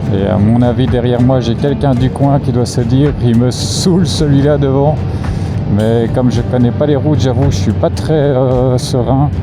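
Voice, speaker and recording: Over background music and audible room echo, a man talks at a medium pitch and a fairly slow pace, with ordinary pitch variation and very even loudness. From Belgium. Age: 40s. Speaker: motorcycle vlogger. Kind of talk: casual vlog narration. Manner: hesitant, many fillers.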